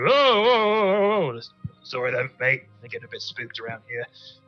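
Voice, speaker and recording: Projected and raised, a put-on character voice carries along at a moderate pace. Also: man, high pitch for a man. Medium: actual play. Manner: casual, apologetic.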